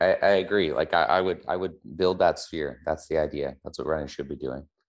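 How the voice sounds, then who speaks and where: A man with a Canadian accent talks at a moderate pace over a quiet background. His very deep, low voice has vocal fry and fairly even intonation. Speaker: physiotherapist and chiropractor, researcher and educator. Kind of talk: casual expert interview. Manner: conversational, halting, with hedges and laughter.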